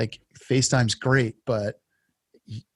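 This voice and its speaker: A man with a medium pitch speaks in a monotone, flat way. The sound is dry and close, with no echo. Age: 40s. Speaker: podcast host and lineman. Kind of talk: interview conversation. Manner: halting.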